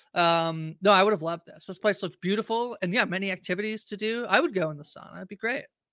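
On a very clean recording with a silent background, a man talks in a raised, projected voice at a high pitch, with a bright, sharp tone. He speaks very fast with hardly any pauses, and his loudness swings widely. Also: ordinary pitch variation. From Canada. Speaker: podcast host. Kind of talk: casual chat.

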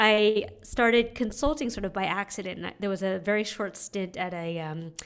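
A woman with an American accent has a plain, everyday voice at a medium pitch and a moderate pace. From US West Coast, San Francisco. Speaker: nonprofit fundraising consultant. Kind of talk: interview.

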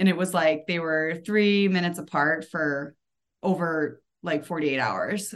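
A woman with a fairly low pitch uses an ordinary speaking voice at a fairly slow pace, her intonation fairly even. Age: 30s. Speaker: postpartum fitness coach. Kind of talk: casual interview chat.

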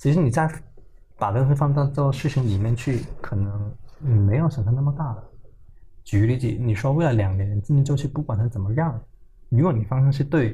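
His tone dark and mellow, a man speaks somewhat breathily at a medium pitch with ordinary pitch variation. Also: moderate pace. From Hong Kong. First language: Cantonese (speaking Chinese). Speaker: tech startup founder and CEO. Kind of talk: interview. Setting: company office.

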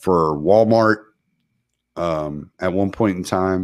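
The speaker talks at a very slow pace in an American accent, with ordinary pitch variation. The recording is very clean, with a silent background. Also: man. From Texas. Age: 40s. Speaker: truck driver and military veteran. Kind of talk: casual chat.

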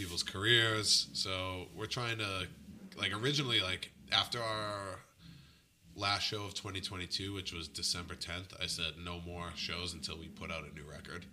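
With an American accent, a man speaks at a moderate pace in a very deep, low voice, his pitch varying in an ordinary way while his loudness swings widely over noticeable background noise. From Boston area, Massachusetts. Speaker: punk band front-man and musician. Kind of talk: casual chat interview.

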